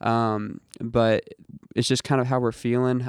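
A man with an American accent at a medium pitch in a flat monotone, in a very clean recording with a silent background and a dry, close sound with no echo. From Indiana, US Midwest. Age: young. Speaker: rock musician. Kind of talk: casual interview.

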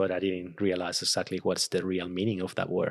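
A man's very deep, low voice in a flat monotone. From Venezuela. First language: Spanish. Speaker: designer. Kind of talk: casual interview. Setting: home.

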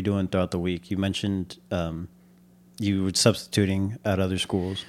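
In a very clean recording with a silent background, a man with an ordinary speaking voice talks at a fairly quick pace in a fairly low pitch. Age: 20s. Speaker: church podcast host. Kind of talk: casual interview chat.

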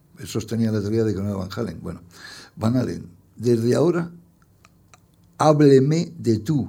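Long, frequent pauses break up a man's speech, delivered in a medium pitch with a dark, mellow tone and lively intonation, with audible room echo. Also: moderate pace. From Spain, Madrid. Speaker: poet and journalist. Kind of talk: public interview. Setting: stage with audience.

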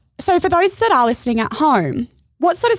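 In a very clean recording with a silent background and a dry, close sound with no echo, a woman talks at a very fast pace with very wide pitch swings. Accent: Australian. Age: 30s. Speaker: podcast host. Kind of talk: casual interview chat.

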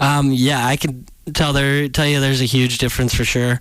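Moderate speed from a male speaker. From Michigan (West Olive). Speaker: college hockey player. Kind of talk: interview.

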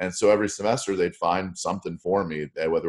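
With an American accent, a man talks at a fairly quick pace. His voice is very deep and low. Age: 50s. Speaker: radio host. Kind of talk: podcast interview.

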